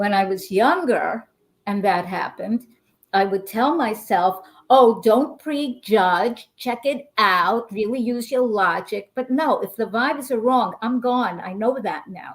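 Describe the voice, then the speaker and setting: Speaking with a New York accent, a woman with a fairly high pitch talks at a fairly slow pace with lively intonation. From New York, Brooklyn. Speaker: intuitive healer. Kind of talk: interview. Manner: animated.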